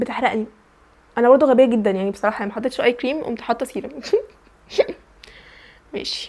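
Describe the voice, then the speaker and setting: A woman with an Egyptian accent, high in pitch and fairly even in intonation, very fast in pace but with long, frequent pauses. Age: young. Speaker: university student. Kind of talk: casual vlog talk to camera.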